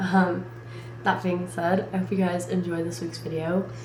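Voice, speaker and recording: Over music in the background, a woman talks at a moderate pace with audible room echo. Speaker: vlogger, college student. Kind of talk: casual vlog chat. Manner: loud.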